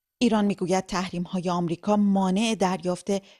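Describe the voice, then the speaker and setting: Against a quiet background, a woman talks with a dark, mellow tone and fairly even intonation. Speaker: radio reporter. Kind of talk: news reading. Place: studio. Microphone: studio mic.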